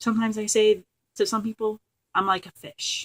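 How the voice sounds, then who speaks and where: A woman at a moderate pace, the sound dry and close with no echo. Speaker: crafting and book vlogger. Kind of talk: casual vlog monologue. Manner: rambling with many fillers.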